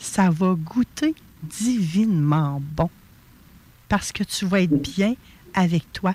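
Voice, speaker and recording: A woman talks at a medium pitch in a dark, mellow, somewhat breathy tone, with lively intonation and very even loudness. Her pace is very slow, with long, frequent pauses, and the sound is dry and close with no echo. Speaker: radio host. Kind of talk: radio talk show interview. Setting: radio studio, also streamed live.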